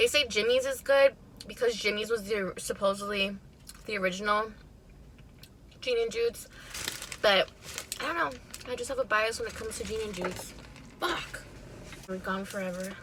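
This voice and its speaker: Someone with an American accent speaks at a moderate pace with ordinary pitch variation and long, frequent pauses. Noticeable background noise sits under the voice. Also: woman, fairly high pitch for a woman. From Chicago, northwest side. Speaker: mukbang vlogger. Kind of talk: casual storytime while eating.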